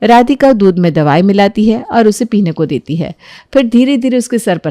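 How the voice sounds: A natural reading voice carries lively intonation from line to line.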